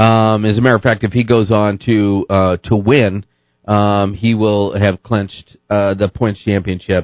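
Monotone and flat in intonation, a man speaks at a fairly slow pace with a fairly low pitch and very even loudness. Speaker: motorsports radio host. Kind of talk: casual radio talk show. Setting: radio studio.

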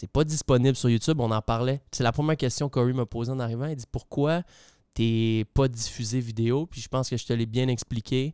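In a Quebec accent, a man speaks at a fairly quick pace with a dark, mellow tone, medium pitch and fairly even intonation, in a dry, close sound with no echo. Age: 30s. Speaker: podcast host. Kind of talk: casual interview.

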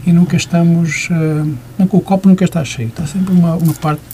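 A man's voice against noticeable background noise. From Porto, Portugal. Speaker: visual artist. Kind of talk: radio interview. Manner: halting, many fillers.

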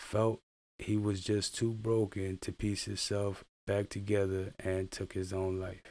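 A man speaks at a fairly slow pace with a fairly low pitch and monotone, flat intonation. The recording is very clean, with a silent background. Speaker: army veteran and video creator. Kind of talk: reading aloud a personal blog post. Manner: halting, stumbles over words.

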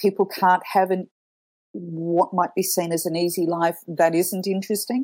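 With an Australian accent, a woman speaks at a fairly slow pace. Her pitch is medium. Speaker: communications professional. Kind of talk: interview.

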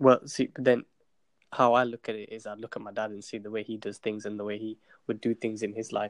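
A man with a British accent speaks at a very fast pace, medium in pitch and monotone. The sound is dry and close with no echo, over a quiet background. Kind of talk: casual interview chat.

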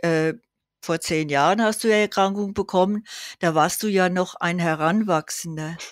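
A woman at a medium pitch with fairly even intonation, in a very clean recording with a silent background and a dry, close sound with no echo. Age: 80s+. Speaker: patient association volunteer, former chairwoman. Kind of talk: casual chat.

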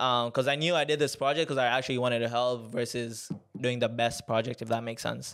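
A man talks very fast at a medium pitch, his intonation fairly even. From Tanzania (Moshi). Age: 20s. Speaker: podcast host. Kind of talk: casual storytelling monologue. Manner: filler-heavy, casual.

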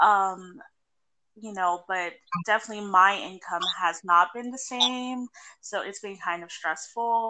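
Bright, sharp tone from a woman at a fairly slow pace. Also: medium pitch for a woman, ordinary pitch variation, big swings in loudness. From Puerto Rican heritage, US Northeast. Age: 20s. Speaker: sex worker. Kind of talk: casual interview. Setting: remote call.

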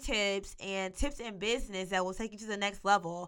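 At a moderate pace, the speaker has a bright, sharp tone and ordinary pitch variation on a very clean recording with a silent background. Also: woman. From US South, Arkansas (Monticello, southeast Arkansas). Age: 20s. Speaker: podcast host. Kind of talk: monologue podcast introduction.

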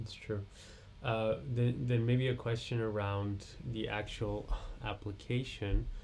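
A somewhat breathy, monotone, flat delivery at a very slow pace. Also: man, medium pitch for a man. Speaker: podcast host. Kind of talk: interview conversation.

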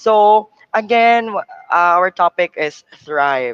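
The speaker has a Cebuano accent. The background is quiet. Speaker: event moderator. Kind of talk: event hosting. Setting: video call.

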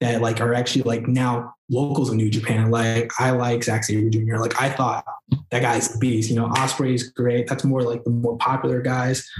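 A man with an American accent at a moderate pace, medium pitch, monotone, flat intonation and very even loudness, music in the background. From New York, Queens. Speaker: wrestler. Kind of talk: casual chat.

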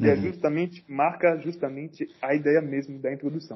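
Fairly even intonation at a moderate pace. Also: man. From Cameroon. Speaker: rapper. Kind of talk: casual chat.

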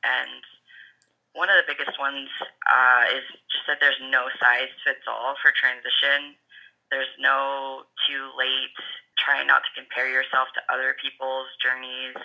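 A fairly slow pace with long, frequent pauses. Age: 30s. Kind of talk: interview.

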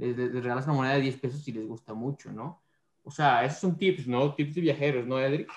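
Fairly even intonation and medium pitch from a man, delivered at a fairly quick pace. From Mexico City. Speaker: podcast co-host, mechatronics engineer. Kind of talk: interview.

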